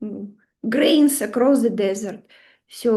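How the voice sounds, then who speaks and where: A woman speaks with a Russian accent. Her pitch is high and her tone dark and mellow. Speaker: astrology teacher. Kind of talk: online webinar lecture. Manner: animated.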